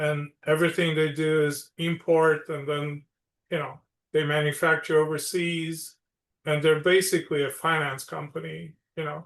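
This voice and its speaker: At a moderate pace, a man with a Romanian accent speaks in a monotone, flat intonation at a fairly high pitch for a man against a quiet background. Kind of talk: podcast interview.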